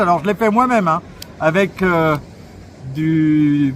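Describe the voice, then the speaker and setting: A man speaks loudly at a fairly slow pace. His intonation is lively. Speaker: RC model reviewer. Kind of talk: product review. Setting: outdoors at the beach. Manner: hesitant with fillers.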